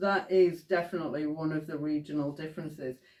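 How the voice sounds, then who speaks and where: With a West Yorkshire accent, this woman talks in a fairly low pitch and fairly even intonation. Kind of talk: casual talk to camera.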